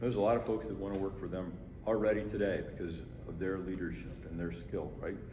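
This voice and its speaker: The speaker talks at a very fast pace with a dark, mellow, somewhat breathy tone and ordinary pitch variation. Room echo can be heard. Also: man, fairly low pitch for a man. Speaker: fire chief. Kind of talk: community meeting Q&A. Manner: conversational, repetitive.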